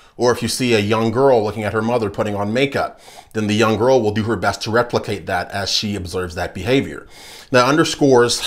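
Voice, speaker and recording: Ordinary pitch variation in a man's voice. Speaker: political commentator. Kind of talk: commentary.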